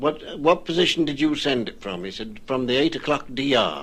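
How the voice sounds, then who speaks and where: A man with a fairly high voice speaks at a fairly slow pace, his intonation lively and his tone creaking with vocal fry. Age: 70s. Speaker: retired ship's officer. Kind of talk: radio interview recollection.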